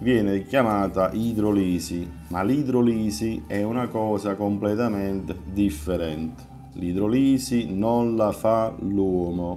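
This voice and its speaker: Faint background music behind a man with a fairly low pitch and ordinary pitch variation. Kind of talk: live stream lecture. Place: home room. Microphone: phone near.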